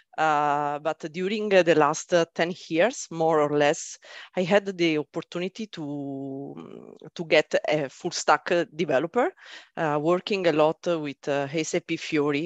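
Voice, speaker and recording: In a very deep, low pitch and with an Italian accent, a woman speaks at a very slow pace with ordinary pitch variation, the sound dry and close with no echo against a quiet background. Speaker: software development team leader. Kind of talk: panel interview.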